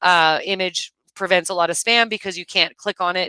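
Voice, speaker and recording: Her voice is medium in pitch with a bright, sharp tone and fairly even intonation. The woman keeps a moderate pace, and the sound is dry and close with no echo. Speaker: software webinar presenter. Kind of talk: tutorial. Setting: live webinar screen share. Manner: casual, many filler words.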